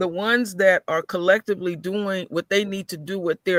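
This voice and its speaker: A man with a high pitch uses a raised, projected voice and a bright, sharp tone at a moderate pace. The recording is very clean with a silent background and a dry, close sound with no echo. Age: 50s. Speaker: caller. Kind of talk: casual chat.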